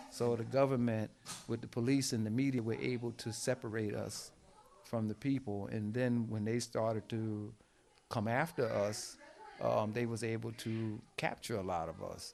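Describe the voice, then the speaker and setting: At medium pitch and a moderate pace, a man talks with fairly even intonation. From New Jersey, US. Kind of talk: interview. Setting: at his home.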